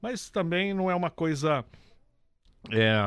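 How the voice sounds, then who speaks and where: A man talks at a fairly slow pace in a very clean recording with a silent background. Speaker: radio co-host. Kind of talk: casual chat. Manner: halting.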